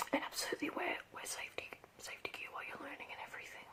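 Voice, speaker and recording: A woman whispering in an Australian accent, with noticeable background noise. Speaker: ASMR creator. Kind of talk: ASMR role play, casual talk to camera.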